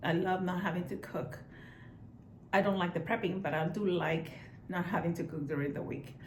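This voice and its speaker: Spoken at a moderate pace in a Spanish accent, the somewhat breathy voice has ordinary pitch variation, long and frequent pauses, and audible room echo. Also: woman, fairly low pitch for a woman. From Puerto Rico. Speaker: vlogger. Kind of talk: casual vlog chat. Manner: relaxed, hesitant with fillers.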